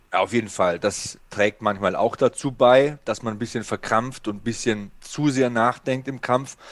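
Recorded dry and close with no echo, a man speaks in a normal speaking voice at a medium pitch and moderate pace. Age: 40s. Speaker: MMA podcast host. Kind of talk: casual chat.

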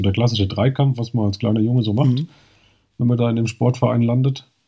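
This man's voice is somewhat breathy, with a dark, mellow tone and a medium pitch. He speaks with a slight Hessian accent and ordinary pitch variation. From Hesse, Germany. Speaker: trail running blogger. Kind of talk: podcast interview.

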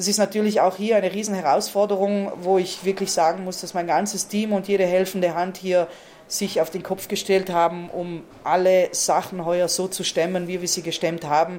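A woman speaks with a South Tyrolean accent at medium pitch and a moderate pace. Her intonation is monotone and flat, with noticeable background noise. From Val Gardena, South Tyrol, Italy. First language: Ladin (speaking German). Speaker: tournament organizer. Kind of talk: interview.

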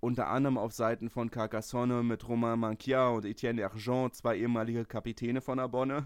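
A man at medium pitch speaks at a fairly quick pace. His intonation is monotone and flat, and his loudness stays very even. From Berlin (Lichterfelde). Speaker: podcast host, rugby fan. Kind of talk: casual chat.

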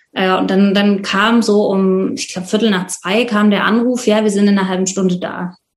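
A somewhat breathy woman speaks at medium pitch and a moderate pace in a flat monotone. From Leipzig, Saxony, eastern Germany. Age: 30s. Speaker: volunteer host of refugees. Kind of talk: interview.

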